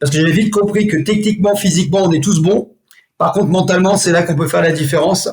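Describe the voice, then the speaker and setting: Very fast speech with fairly even intonation. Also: man, high pitch for a man, very even loudness. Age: 60s. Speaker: martial arts instructor. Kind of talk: interview. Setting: podcast.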